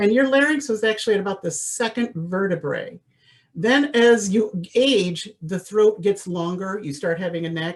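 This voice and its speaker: A woman speaks with lively intonation. She keeps a moderate pace. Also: medium pitch for a woman. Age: 60s. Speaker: voice teacher. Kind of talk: lecture. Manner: animated.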